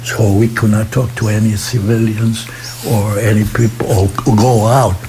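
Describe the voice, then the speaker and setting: A man talks at a fairly slow pace in a fairly low, monotone, flat voice. Background noise is noticeable. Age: 80s+. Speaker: war veteran. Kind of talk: interview answer.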